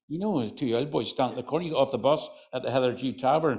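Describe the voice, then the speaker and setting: The speaker has a Northern Irish accent. The pace is fairly quick. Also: man. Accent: Northern Irish, County Antrim. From Northern Ireland, County Antrim. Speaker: folklorist and storyteller. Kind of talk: storytelling to live audience. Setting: hotel function room with audience. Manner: conversational, chatty.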